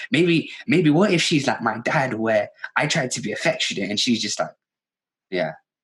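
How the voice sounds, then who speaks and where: This man's fairly high voice has vocal fry and very wide pitch swings. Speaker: podcast host. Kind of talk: casual chat. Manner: loud.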